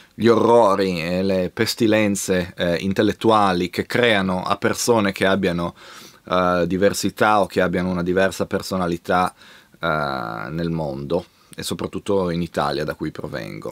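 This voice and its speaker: Over a quiet background, a man with a very deep, low pitch talks at a moderate pace with ordinary pitch variation. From Italy, Genoa; Italy. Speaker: YouTube video host on music culture. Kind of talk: video monologue. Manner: halting. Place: home room.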